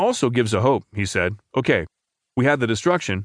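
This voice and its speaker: Here is a plain, everyday voice: a man at a medium pitch with lively intonation and a fairly quick pace. The background is quiet, and the sound is dry and close with no echo. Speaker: newspaper audio narrator. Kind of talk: news reading, scripted narration of newspaper articles. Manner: formal, measured and even-paced; steady, neutral newsreader delivery.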